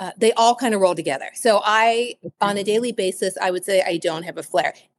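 Recorded dry and close with no echo, a woman with an American accent and a normal speaking voice talks at a fairly quick pace with hardly any pauses, fairly high pitch and lively intonation. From Cincinnati, Ohio. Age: 40s. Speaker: author. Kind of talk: interview.

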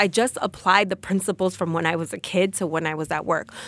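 An unremarkable speaking voice from a woman with an American accent, medium pitch and moderate pace, on a very clean recording with a silent background. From New Jersey, Passaic. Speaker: entrepreneur and sports agent. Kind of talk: interview conversation.

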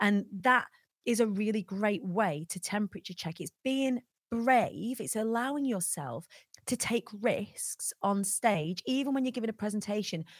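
A somewhat breathy woman with a northern English accent, lively intonation and a moderate pace, in a dry, close sound with no echo. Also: very clean recording, silent background. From northern England. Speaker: motivational speaker. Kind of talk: interview. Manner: careful diction.

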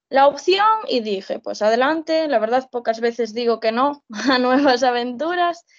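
Against a quiet background, a woman talks at a fairly slow pace in a high voice. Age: 20s. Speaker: social educator. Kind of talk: casual interview.

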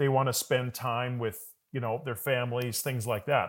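A man speaks in a plain, everyday voice at medium pitch and a moderate pace, with a Canadian accent. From Calgary, Canada. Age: 40s. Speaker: business coach. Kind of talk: interview. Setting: video call.

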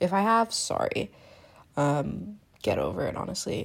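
A woman's voice moves through very wide pitch swings. The recording is very clean with a silent background. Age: 20s. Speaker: podcast host and student. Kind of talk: casual solo monologue.

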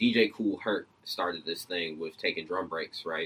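Someone with an American accent speaks very slowly with fairly even intonation. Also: man. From Georgia, US (Decatur). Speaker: music producer and DJ. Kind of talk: casual interview.

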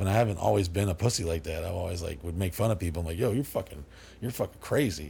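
Very fast, somewhat breathy speech with an American accent. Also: man. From Dallas, Texas area. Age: 40s. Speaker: party house owner. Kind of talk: casual interview chat. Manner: rambling, animated.

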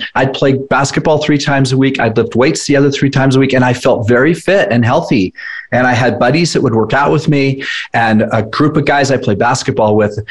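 Here is a man with a plain, everyday voice at medium pitch. He talks at a fairly quick pace and his loudness stays very even. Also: ordinary pitch variation. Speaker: fitness nutrition coach, entrepreneur. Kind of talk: casual interview.

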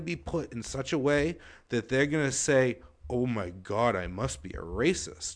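Lively intonation at a moderate pace over a quiet background, an ordinary speaking voice. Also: man. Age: 40s. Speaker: podcast co-host. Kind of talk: casual chat.

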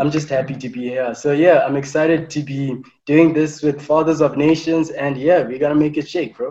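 Fairly quick, nearly pauseless speech from a man, fairly high in pitch, with a dark, mellow tone and monotone, flat intonation. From Zimbabwe. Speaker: law student, podcast co-host. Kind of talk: casual chat.

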